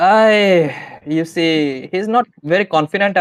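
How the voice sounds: Using a natural reading voice, the speaker shows ordinary pitch variation.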